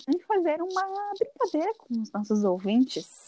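In a southern Brazilian accent, a woman speaks at a fairly slow pace with an extremely high pitch and very wide pitch swings, the sound dry and close with no echo. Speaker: podcast co-host. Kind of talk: casual chat.

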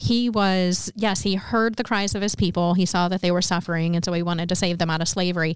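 A woman speaks in a plain, everyday voice, her medium pitch carrying fairly even intonation. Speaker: podcast co-host. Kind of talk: casual chat.

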